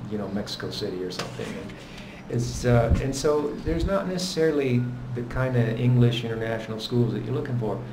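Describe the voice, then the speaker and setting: Noticeable background noise and audible room echo surround a man speaking at a fairly quick pace and medium pitch, with ordinary pitch variation. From Italy. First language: Italian. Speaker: expat vlogger. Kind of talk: casual chat.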